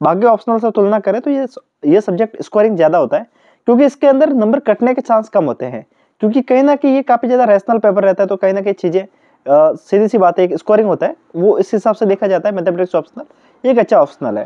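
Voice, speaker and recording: Here a man speaks with a high pitch and lively intonation. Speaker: YouTuber reviewing exam study notes. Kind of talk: product review talk to camera.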